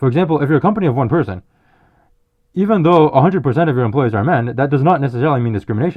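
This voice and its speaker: Mumbling at a very fast pace, a man speaks at a medium pitch with very wide pitch swings. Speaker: vlogger. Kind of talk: opinion monologue.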